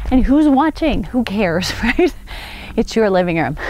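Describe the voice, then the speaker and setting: The recording of this woman is dry, with no echo at all. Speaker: fitness instructor. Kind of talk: workout instruction. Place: open country.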